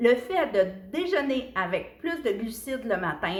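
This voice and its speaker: With audible room echo, a woman speaks very slowly in a Quebec accent, her fairly high voice making very wide pitch swings. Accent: Québécois French. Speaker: nutrition coach. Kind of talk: casual video talk. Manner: chatty.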